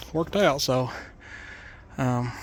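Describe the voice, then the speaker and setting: A man with a Tennessee accent speaks at a medium pitch. His pitch varies in an ordinary way. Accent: Southern US (Tennessee area). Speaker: YouTube vlogger, motorhome project buyer. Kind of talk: casual vlog narration. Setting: outdoors, parking lot; in a car. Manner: casual, halting with fillers.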